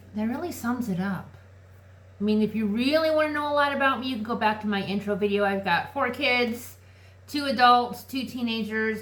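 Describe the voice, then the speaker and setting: A woman talks with a fairly high pitch, and audible room echo surrounds her voice. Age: 40s. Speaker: lifestyle vlogger. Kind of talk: casual chat. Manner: animated.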